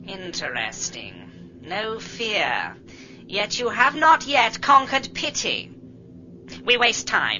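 A female-sounding put-on character voice, fairly high in pitch, at a very slow pace over light background noise. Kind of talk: radio drama dialogue. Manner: cold, emotionless.

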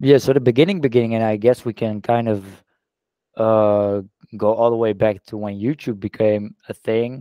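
A man speaks with a Dutch accent and fairly even intonation. The sound is dry, with no echo. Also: medium pitch for a man, moderate pace, quiet background. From Netherlands. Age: 20s. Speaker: social media influencer. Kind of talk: casual interview. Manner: halting, with repeated words. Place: home room. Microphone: headset.

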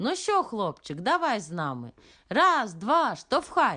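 Putting on a character voice, a woman speaks at a fairly slow pace with fairly high pitch and very wide pitch swings. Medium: read story.

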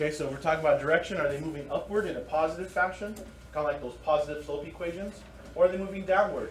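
A man with a fairly high pitch talks at a very fast pace with ordinary pitch variation and big swings in loudness, over noticeable background noise. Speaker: math teacher. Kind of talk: lecture. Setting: classroom.

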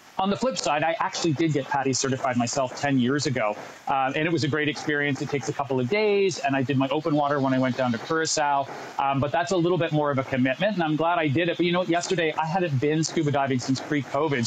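A man talks at a very fast pace. His pitch varies in an ordinary way, over light background noise. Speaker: travel correspondent. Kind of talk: remote TV segment explanation. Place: beach. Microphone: earbuds.

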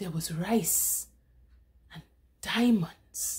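Somewhat breathy, a woman speaks in a solemn tone at a very slow pace. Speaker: poetry reader. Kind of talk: spoken word poetry reading of a protest poem. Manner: measured, declamatory cadence with dramatic emphasis; solemn and accusatory, building rhetorical intensity. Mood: indignant, impassioned. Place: home room. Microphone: webcam.

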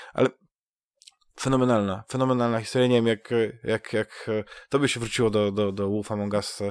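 A man speaks quickly-ish in a flat monotone at a medium pitch, with long, frequent pauses and a dry, close sound with no echo. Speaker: gaming podcast host. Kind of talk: casual chat. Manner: halting, many fillers and repetitions.

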